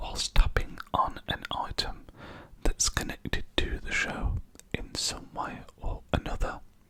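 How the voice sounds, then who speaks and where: A man whispering at a fairly slow pace amid noticeable background noise. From England. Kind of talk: ASMR whisper ramble. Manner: whispered, soft-spoken.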